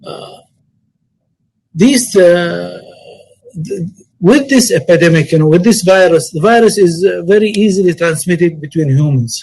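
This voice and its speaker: A man with an Arabic accent speaks at a high pitch and a moderate pace, leaving long, frequent pauses. His pitch variation is ordinary. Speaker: Umrah travel industry speaker. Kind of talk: webinar presentation. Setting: online webinar. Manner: halting.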